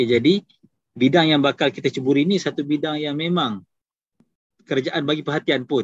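A man with a fairly high voice speaks at a fairly quick pace with ordinary pitch variation and long, frequent pauses, recorded dry with no echo against a quiet background. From Kedah, Malaysia. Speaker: takaful agency director; presenter. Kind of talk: business talk. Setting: video call. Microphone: video call.

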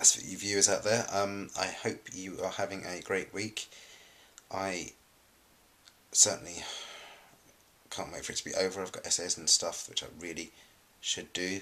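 A man's fairly low, bright and sharp voice, fairly even in intonation, with long, frequent pauses. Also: moderate pace. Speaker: vlogger. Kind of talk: casual vlog chat. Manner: drowsy, low-energy talk from bed. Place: home room. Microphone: webcam.

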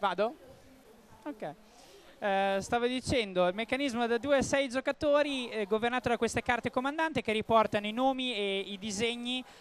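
Pitched extremely high, a man speaks with ordinary pitch variation and long, frequent pauses. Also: moderate pace, dry, close sound with no echo. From Ravenna, Emilia-Romagna. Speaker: board game publisher presenter. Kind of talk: game demonstration. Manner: hesitant with fillers.

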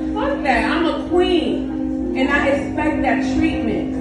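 Loud music plays in the background, and audible room echo surrounds the voice. A woman speaks at a very slow pace. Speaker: spoken word poet. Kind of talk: live poetry performance. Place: stage. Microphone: camera far.

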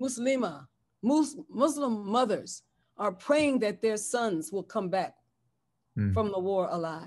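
A woman speaks at a fairly slow pace, her pitch swinging very widely. The background is quiet. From San Francisco, US West Coast; California. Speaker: bishop and pastor; bishop, pastor. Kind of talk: interview conversation. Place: home room. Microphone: webcam.

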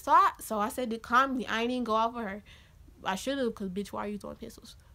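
A woman speaks in an animated tone. Her voice is raised and projected. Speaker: YouTuber telling storytime. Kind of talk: angry rant, animated storytelling. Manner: loud, heated, sassy, fast, animated. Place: home room. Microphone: phone near.

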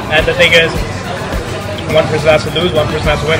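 A man talking at a very fast pace, with clear music in the background. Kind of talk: interview answer. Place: bar. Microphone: phone near.

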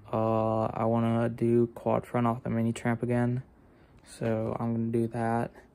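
Speaking at medium pitch, a man uses a dark, mellow tone with monotone, flat intonation. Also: long, frequent pauses. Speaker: trampoline vlogger. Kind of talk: casual vlog talk. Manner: casual with many fillers.

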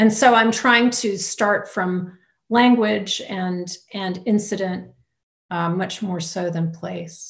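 Against a quiet background, a woman with a somewhat breathy medium-pitched voice speaks at a very slow pace with fairly even intonation. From US South, Louisiana. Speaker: poet. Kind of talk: audience Q&A. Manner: halting. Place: home room. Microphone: video call.

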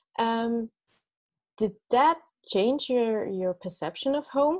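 Against a quiet background, the speaker moves through very wide pitch swings at a fairly slow pace. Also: woman. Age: young. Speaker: interviewer. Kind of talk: interview. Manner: hesitant, repeats words. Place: home room. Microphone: earbuds.

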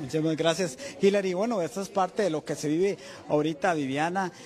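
Speaking fairly quickly with a Costa Rican accent, a man has a high pitch and ordinary pitch variation, with light background noise behind him. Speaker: TV news reporter. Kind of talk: news interview. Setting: on location at a hotel. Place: hall. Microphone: handheld.

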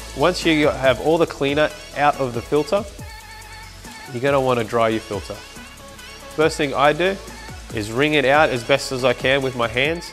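Over faint background music, a man speaks at a moderate pace with ordinary pitch variation. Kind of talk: tutorial. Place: workshop.

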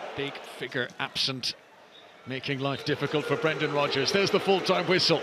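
Over noticeable background noise, a man with a fairly high pitch speaks in an animated, excited tone. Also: ordinary pitch variation, fairly quick pace. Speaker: football commentator. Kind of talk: live football match commentary over highlights. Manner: animated, rising to excited shouts on chances.

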